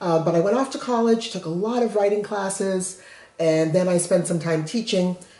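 A woman with an American accent talks at a moderate pace in a dark, mellow tone. Audible room echo surrounds her voice. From Massachusetts. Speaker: children's book author. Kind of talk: casual chat. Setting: at home, kitchen counter. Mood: warm, friendly. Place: kitchen. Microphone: camera far.

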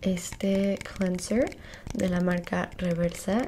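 Over light background noise, a woman speaks in a dark, mellow tone that is somewhat breathy. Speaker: skincare roleplay host. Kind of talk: casual roleplay tutorial. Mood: friendly, relaxed. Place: home room. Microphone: earbuds.

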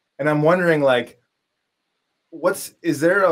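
A man talks with a New York accent against a quiet background. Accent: American, New York. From upstate New York. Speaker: podcast host and collage artist; podcast host. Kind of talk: casual interview. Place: home room. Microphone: studio mic.

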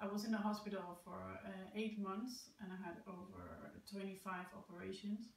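A woman's monotone, flat delivery at a moderate pace, with audible room echo. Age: 30s. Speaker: amputee sharing personal story. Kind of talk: personal testimony. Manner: hesitant, many fillers. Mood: calm, positive, reflective. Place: home room. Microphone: camera far.

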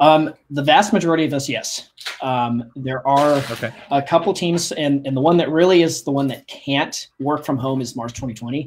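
In an American accent, a man with an unremarkable speaking voice talks at a moderate pace and fairly high pitch, using ordinary pitch variation and hardly any pauses. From Kansas (Wichita). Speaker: aerospace engineer. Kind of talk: interview. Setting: video call.

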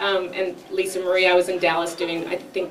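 A woman's fairly low-pitched voice against faint background noise

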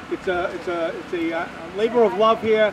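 With clear background noise behind him, a man speaks at a high pitch using fairly even intonation.

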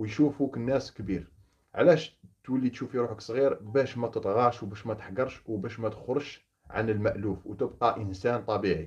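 Over a quiet background, a man with a medium pitch speaks at a fairly quick pace, somewhat breathy. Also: ordinary pitch variation. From Algeria, Oran; Algeria. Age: 30s. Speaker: former gendarme turned opposition activist. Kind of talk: monologue to camera. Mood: earnest, indignant. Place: home room. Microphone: phone near.

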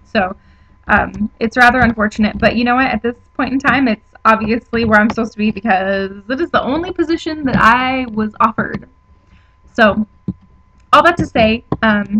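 A woman speaking at a moderate pace shows ordinary pitch variation, with light noise in the background. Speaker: vlogger. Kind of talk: casual vlog chat. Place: home room. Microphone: webcam.

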